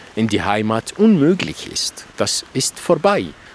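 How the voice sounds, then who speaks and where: Against noticeable background noise, a man with an Arabic accent speaks very slowly at a fairly high pitch with very wide pitch swings, the sound dry and close with no echo. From Iraq. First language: Arabic (speaking German). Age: 50s. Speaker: novelist. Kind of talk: interview. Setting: outdoors.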